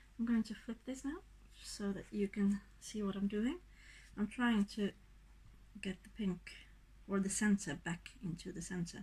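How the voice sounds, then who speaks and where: A woman speaks at a fairly slow pace in a medium pitch, with a somewhat breathy, dark and mellow tone. Her intonation stays fairly even. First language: not English. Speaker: acrylic pour artist. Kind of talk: tutorial demonstration. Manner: casual, halting.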